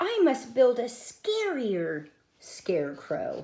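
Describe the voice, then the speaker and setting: The pace is very slow. It is a put-on character voice. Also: female-sounding voice, high pitch for a woman. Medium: read story.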